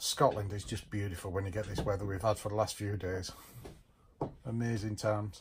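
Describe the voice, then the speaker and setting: A man talks at a fairly quick pace, sounding somewhat breathy. Noticeable background noise runs behind him. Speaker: sailor vlogger. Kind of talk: casual vlog chat. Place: boat. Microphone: phone near.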